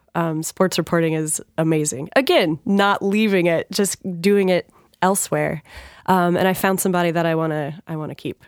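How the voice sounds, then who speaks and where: A woman with an unremarkable speaking voice and an American accent, fairly low in pitch, at a moderate pace with fairly even intonation, in a dry, close sound with no echo and a very clean recording with a silent background. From US Pacific Northwest. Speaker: sports TV anchor. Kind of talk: casual interview chat. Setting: studio.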